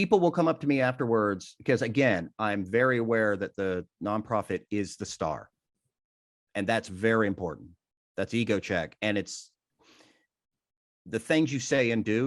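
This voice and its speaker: A man with a normal speaking voice talks at a moderate pace and medium pitch with lively intonation, in a very clean recording with a silent background. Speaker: benefit auctioneer. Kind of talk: interview.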